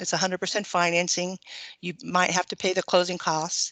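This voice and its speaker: Against a quiet background, a woman with an American accent talks at a fairly quick pace in a fairly low pitch, the sound dry and close with no echo. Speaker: government loan officer. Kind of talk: webinar presentation. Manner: fast.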